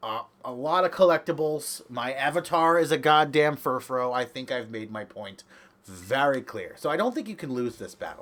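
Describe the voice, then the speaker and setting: In an ordinary speaking voice, a man talks at a moderate pace and a fairly high pitch with lively intonation. His loudness swings widely, and the recording is very clean with a silent background. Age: 20s. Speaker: gaming commentator. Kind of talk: casual gameplay commentary.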